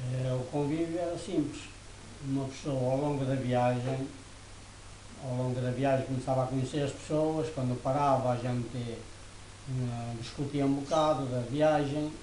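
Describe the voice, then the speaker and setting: The speech moves at a fairly slow pace with monotone, flat intonation. Audible room echo and noticeable background noise are present. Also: man, medium pitch for a man. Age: 70s. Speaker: elderly interviewee. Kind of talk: interview. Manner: hesitant.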